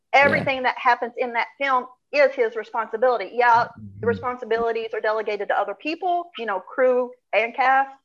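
A woman's high-pitched voice at a very fast pace, in a strong Southern US accent. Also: ordinary pitch variation. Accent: strong Southern US (hillbilly). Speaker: actress. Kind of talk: casual interview. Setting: video call.

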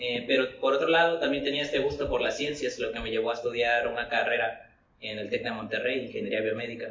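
There is audible room echo along with noticeable background noise. The man speaks at a fairly quick pace. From Coatzacoalcos, Veracruz, Mexico. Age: 20s. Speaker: musician. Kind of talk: casual chat.

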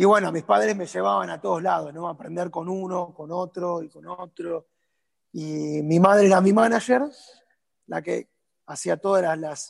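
A man talks with an Argentine accent at a high pitch. His pace is moderate and his pitch varies in an ordinary way. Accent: Argentine Spanish (Rioplatense). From Argentina. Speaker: tango dancer and teacher. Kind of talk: interview. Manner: halting, repeats words.

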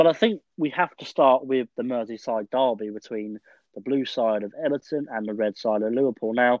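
Speaking with an English accent, a man keeps a moderate pace at a medium pitch with ordinary pitch variation. His volume shows big swings in loudness. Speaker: football podcast host. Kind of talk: casual podcast chat. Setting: podcast recording.

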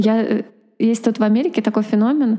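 With a dark, mellow tone and a fairly high pitch, a woman talks at a moderate speed. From Russia. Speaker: podcast co-host, mother. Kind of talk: casual chat. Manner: animated.

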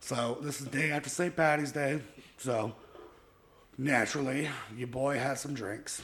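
A man with a fairly high pitch and fairly even intonation, at a fairly slow pace with long, frequent pauses. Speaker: podcast host. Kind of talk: casual chat.

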